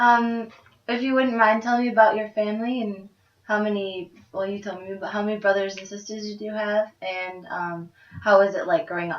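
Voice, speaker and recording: In an ordinary speaking voice, a woman speaks at a fairly quick pace with fairly even intonation and big swings in loudness. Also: medium pitch for a woman. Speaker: student interviewer. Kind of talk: interview.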